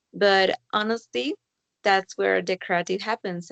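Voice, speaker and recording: A woman at medium pitch in a Spanish accent, fairly slow in pace, with a dry, close sound and no echo. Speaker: linguistics student. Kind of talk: casual chat.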